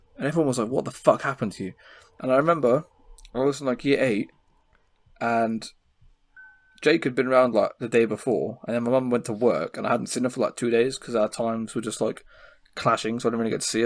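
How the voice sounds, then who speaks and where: A man with an English accent at a very fast pace, broken by long, frequent pauses, with music in the background. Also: medium pitch for a man, ordinary pitch variation. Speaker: podcast co-host. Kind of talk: casual chat. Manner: animated.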